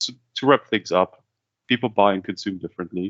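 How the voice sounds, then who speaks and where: A man speaks with a German accent and a fairly low pitch. His pace is fairly quick. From Kazakhstan-born, German-speaking upbringing. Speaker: business development head, webinar host. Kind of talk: webinar presentation. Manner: conversational, some repeated words.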